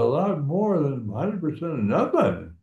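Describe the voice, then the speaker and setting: This man's voice is dark and mellow, somewhat breathy, and his intonation is lively. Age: 80s+. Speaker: war veteran. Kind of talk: interview answer.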